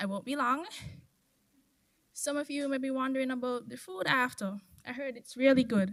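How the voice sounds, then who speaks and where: A soft-spoken woman talks at a fairly quick pace, somewhat breathy, with ordinary pitch variation. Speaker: former scholarship recipient giving a speech. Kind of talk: ceremony speech. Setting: stage with audience.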